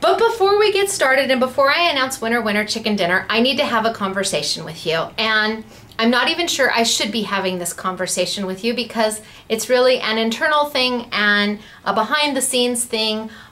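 With lively intonation, a woman talks fairly quickly. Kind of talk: casual vlog chat. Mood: chatty, slightly serious. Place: office. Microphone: webcam.

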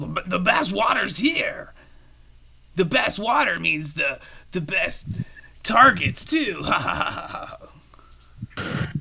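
The speech moves at a very slow pace with big swings in loudness. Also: man, high pitch for a man. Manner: swaggering, boastful, laughing.

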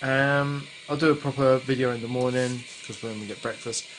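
A man at medium pitch, fairly quick and fairly even in intonation, over faint background noise.

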